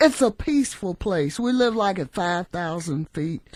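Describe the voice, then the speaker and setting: A woman with an American accent speaks fairly slowly in a fairly low pitch with lively intonation. The background is quiet. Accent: Southern and Midwest US, still noticeable. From Kansas City, Kansas, US Midwest. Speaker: activist and community center founder. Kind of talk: radio interview.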